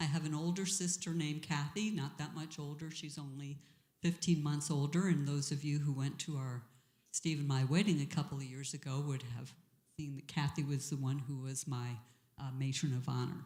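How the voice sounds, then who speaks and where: Fairly quick and somewhat breathy, a woman with an American accent talks in a very deep, low voice of dark, mellow tone and fairly even intonation. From US East Coast (Long Island, Boston area, Florida). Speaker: church member, former board member. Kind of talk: interview.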